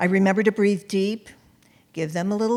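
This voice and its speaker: The speaker is a woman with a medium pitch. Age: 70s. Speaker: memoirist and author. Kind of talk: storytelling performance.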